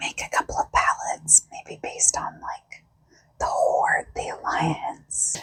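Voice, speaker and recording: A very slow whisper over noticeable background noise. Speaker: ASMR creator. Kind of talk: ASMR makeup chat. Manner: whispered; soft-spoken.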